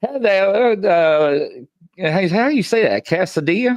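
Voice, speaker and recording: The voice carries a Southern US accent. It moves at a fairly slow pace. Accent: southern US twang. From US South. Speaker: talk show host. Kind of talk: live talk show. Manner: hesitant, many fillers.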